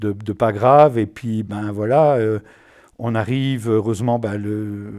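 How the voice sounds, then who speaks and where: With a dark, mellow tone and a fairly low pitch, a man speaks at a very slow pace in fairly even intonation on a very clean recording with a silent background. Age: 60s. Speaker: patient, IT consultant. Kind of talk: testimony. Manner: halting, many hesitations and repetitions.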